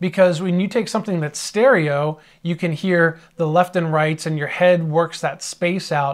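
Over a quiet background, a man talks at a moderate pace with a high pitch. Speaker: audio mixing instructor. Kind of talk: tutorial. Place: home room.

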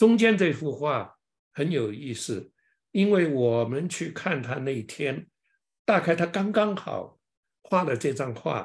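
Very slow speech from a man with very wide pitch swings, against a quiet background. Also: fairly high pitch for a man. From China. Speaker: lecturer on an artist. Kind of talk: online lecture. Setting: online presentation. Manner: halting, many filler sounds. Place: home room. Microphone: webcam.

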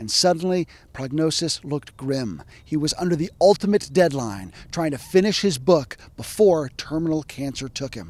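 A man with an ordinary speaking voice talks at a moderate pace and a fairly high pitch, with lively intonation. His loudness swings widely, and the sound is dry with no echo. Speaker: historian. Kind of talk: educational narration. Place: open country. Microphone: handheld.

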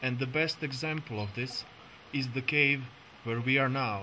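Someone speaks with a Croatian accent against noticeable background noise. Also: man. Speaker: conservation biologist. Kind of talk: documentary narration. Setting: in a cave.

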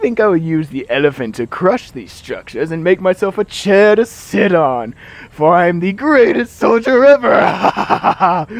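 Speaking at a moderate pace with hardly any pauses, a man uses a high pitch and very wide pitch swings. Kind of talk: comic overacting. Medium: machinima. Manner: grandiose, pompous overacting.

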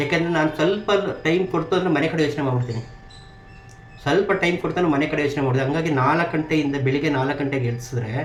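A man speaks at a fairly high pitch with ordinary pitch variation. Noticeable background noise and audible room echo fill the recording. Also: very even loudness. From southern Karnataka (Mysuru region), India. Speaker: retired army soldier. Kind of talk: interview.

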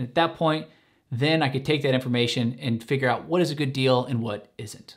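Faint music plays behind a man whose intonation stays fairly even. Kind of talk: tutorial. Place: home room.

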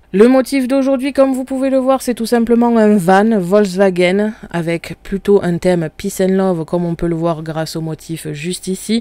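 A woman speaks at a moderate pace with hardly any pauses and lively intonation, the sound dry with no echo. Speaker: craft software tutor. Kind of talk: tutorial. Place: home room.

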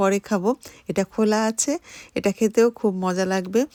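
A woman with a normal speaking voice and a fairly high pitch is heard in a dry, close sound with no echo. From Bangladesh, Khulna. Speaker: vlogger. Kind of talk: vlog narration.

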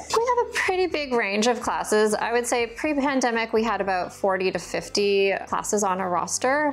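The intonation here is lively. A woman talks at a moderate pace. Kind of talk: interview answer.

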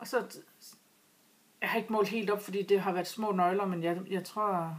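A woman speaks with fairly even intonation. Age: 40s. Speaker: knitting vlogger. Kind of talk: casual vlog talk. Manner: halting. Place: home room. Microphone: webcam.

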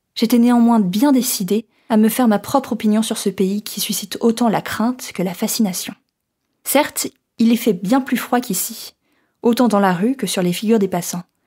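A woman's somewhat breathy, dark, mellow voice at a moderate pace, with ordinary pitch variation. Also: long, frequent pauses. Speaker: student. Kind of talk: reading a letter aloud.

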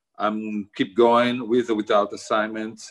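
At a fairly slow pace, a man is talking. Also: quiet background. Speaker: photojournalist. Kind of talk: interview. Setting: video call with weak signal. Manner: halting, broken English. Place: home room. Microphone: video call.

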